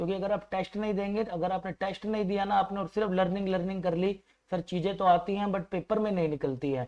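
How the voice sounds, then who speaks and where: The voice has a dark, mellow tone. Its intonation is fairly even and the pace moderate. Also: man. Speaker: maths teacher. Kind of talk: online exam-prep lecture. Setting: faulty microphone.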